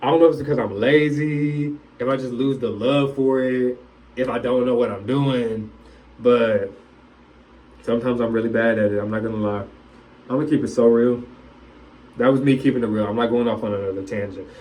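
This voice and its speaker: Loud man's voice at medium pitch and a fairly quick pace, with fairly even intonation, long, frequent pauses and audible room echo. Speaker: vlogger. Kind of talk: casual vlog monologue. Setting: bathroom, self-recorded.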